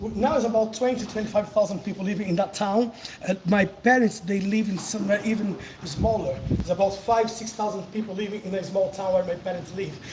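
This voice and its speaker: A man with a Brazilian accent talks at a fairly quick pace and a high pitch, with fairly even intonation. Background noise is noticeable. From southern Brazil, countryside of Paraná. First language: Portuguese. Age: 40s. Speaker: capoeira teacher, livestreamer. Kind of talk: casual live chat during workout. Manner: breathless, effortful.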